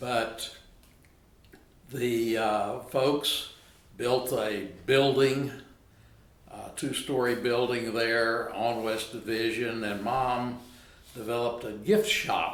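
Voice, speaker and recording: In a room with audible echo, a man with an American accent speaks very slowly at a medium pitch, with flat, monotone intonation and long, frequent pauses. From Texas, Arlington. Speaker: retired lawyer. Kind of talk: oral history interview.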